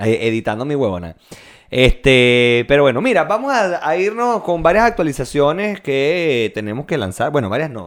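Very wide pitch swings in a Venezuelan accent. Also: man, fairly high pitch for a man, moderate pace. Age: 20s. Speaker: podcast co-host. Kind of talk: casual chat.

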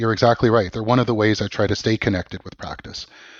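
A man speaks with a Canadian accent at a medium pitch. His pace is very fast. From Canada, Vancouver. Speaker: law professor. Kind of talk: interview. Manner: hesitant with repetitions.

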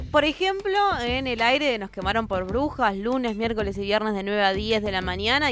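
A woman with an unremarkable speaking voice, fairly high in pitch, at a moderate pace. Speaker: community radio co-host. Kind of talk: live radio interview and commentary.

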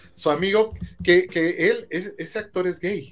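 A man speaks at a moderate pace. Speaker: podcast co-host. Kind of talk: casual chat. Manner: halting.

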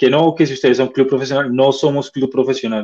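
The clip has an ordinary speaking voice from a man. His pitch is fairly high and his pace fairly quick. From Colombia. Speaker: basketball club representative. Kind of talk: interview.

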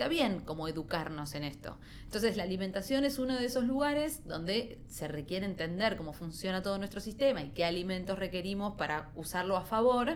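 A woman with a Rioplatense accent talks at a fairly quick pace with hardly any pauses, her medium pitch moving in very wide swings, amid audible room echo. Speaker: TV news segment contributor on nutrition. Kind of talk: casual interview chat.

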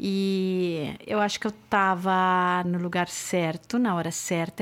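A woman speaks with a fairly low pitch and monotone, flat intonation. The recording is very clean, with a silent background. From Brazil, São Paulo. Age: 50s. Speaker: music booker and show producer. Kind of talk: casual chat.

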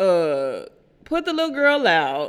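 A woman at a very slow pace. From Houston, Texas (Third Ward, Missouri City). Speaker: podcast co-host. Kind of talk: casual chat. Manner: animated.

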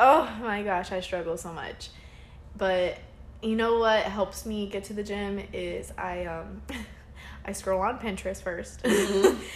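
Big swings in loudness mark a woman's fairly slow speech, heard with audible room echo. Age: 20s. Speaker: podcast co-host. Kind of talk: casual chat. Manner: animated.

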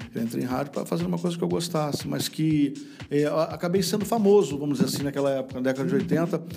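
A man with a fairly high voice talks very fast with very wide pitch swings against noticeable background noise. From Rio de Janeiro, Brazil. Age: 50s. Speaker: radio broadcaster. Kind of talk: casual interview.

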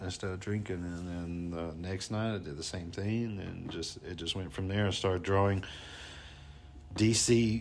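A man speaks in a very deep, low voice with a Southern US accent. His intonation stays fairly even at a moderate pace. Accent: Southern US twang. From US South, North Alabama. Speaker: tattoo artist and military veteran. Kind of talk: casual interview chat.

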